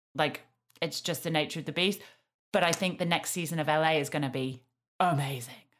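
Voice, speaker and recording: Her voice is very deep and low, with fairly even intonation. This woman moves at a fairly quick pace yet leaves long, frequent pauses. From Yorkshire, England. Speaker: podcast host. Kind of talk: casual chat.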